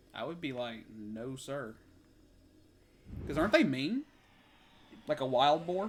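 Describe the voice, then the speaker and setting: A fairly high-pitched male voice, fairly slow, with lively intonation, big swings in loudness and long, frequent pauses. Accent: Kentucky. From US South, Kentucky. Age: 30s. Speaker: game streamer. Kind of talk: casual chat. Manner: halting.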